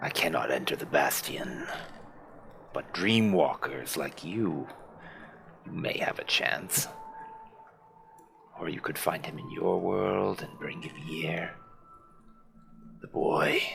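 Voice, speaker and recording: A man talks in a put-on character voice at a fairly slow pace. Faint music plays in the background. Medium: actual play. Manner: formal, archaic.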